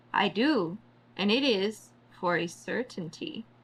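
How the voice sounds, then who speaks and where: Putting on a character voice, a woman talks fairly slowly at a medium pitch. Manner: giggling, creepy.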